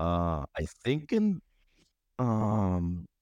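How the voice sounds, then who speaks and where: With a Spanish accent, a man speaks in a dark, mellow tone with lively intonation, in a very clean recording with a silent background and a dry, close sound with no echo. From Cuba. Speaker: dancer. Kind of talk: casual chat.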